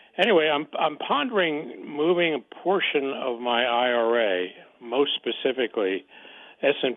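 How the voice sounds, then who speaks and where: A man talks at a fairly slow pace with ordinary pitch variation. He has an ordinary speaking voice. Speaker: caller. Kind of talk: phone-in question. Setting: phone call.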